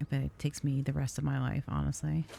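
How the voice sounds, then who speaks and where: A woman talks at a fairly quick pace. She is soft-spoken. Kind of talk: casual talk to camera. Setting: gaming stream commentary.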